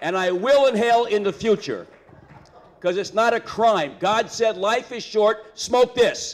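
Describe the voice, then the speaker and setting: A high-pitched man with an animated tone, at a fairly slow pace with ordinary pitch variation, over noticeable background noise. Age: 60s. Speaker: political candidate. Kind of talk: campaign speech. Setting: stage with audience.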